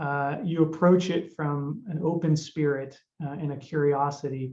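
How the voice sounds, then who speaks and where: A somewhat breathy, fairly high-pitched man's voice in an American accent, with fairly even intonation. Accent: American accent when speaking Spanish. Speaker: judge. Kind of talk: panel discussion. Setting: webinar video call.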